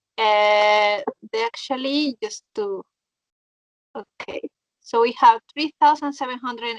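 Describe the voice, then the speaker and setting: A woman with a Mexican accent and a high pitch speaks at a fairly slow pace with ordinary pitch variation and long, frequent pauses, in dry, close sound with no echo. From Mexico. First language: Spanish. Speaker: motorcyclist. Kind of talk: interview.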